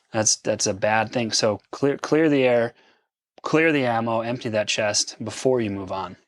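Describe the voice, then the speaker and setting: At a fairly slow pace, a man with a medium-pitched voice and ordinary pitch variation is heard in a dry, close sound with no echo. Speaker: podcast co-host. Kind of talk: casual chat. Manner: animated.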